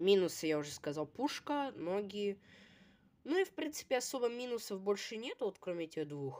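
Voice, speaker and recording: Here a woman speaks at a moderate pace. Her pitch swings very widely. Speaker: toy review video blogger; toy set reviewer. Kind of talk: product review. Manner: casual, hesitant with filler sounds. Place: home room. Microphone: phone near.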